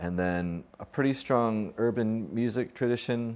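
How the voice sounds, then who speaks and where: A man with an American accent talks in an ordinary speaking voice at a moderate pace, with ordinary pitch variation. The recording is very clean, with a silent background. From USA. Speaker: ethnomusicology lecturer. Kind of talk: interview answer.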